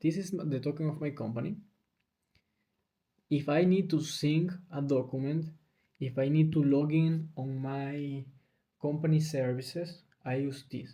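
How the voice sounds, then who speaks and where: A man with a fairly high pitch speaks at a fairly slow pace, leaving long, frequent pauses. His intonation is fairly even, and his dark, mellow tone is somewhat breathy. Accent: non-native. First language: Spanish. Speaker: video blogger. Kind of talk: casual talk to camera. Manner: halting, with self-corrections.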